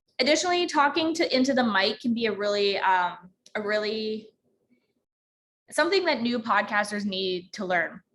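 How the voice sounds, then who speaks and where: This woman's pitch is fairly high. Her intonation is lively. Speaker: podcasting workshop instructor. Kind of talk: online workshop tutorial. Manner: fast.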